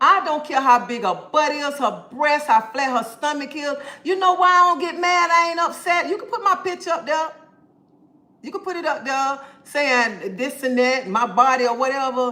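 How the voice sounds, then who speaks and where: A woman with a high pitch uses a raised, projected voice, her tone animated, bright and sharp, with lively intonation. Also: moderate pace. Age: 50s. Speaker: live streamer. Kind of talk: casual livestream chat, reading comments.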